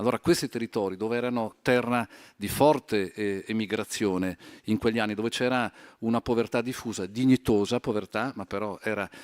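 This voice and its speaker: A man uses a normal speaking voice with a medium pitch and fairly even intonation at a fairly quick pace. The recording is very clean, with a silent background and a dry, close sound with no echo. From Italy, Trento. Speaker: highway company executive. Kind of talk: panel discussion. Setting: conference stage.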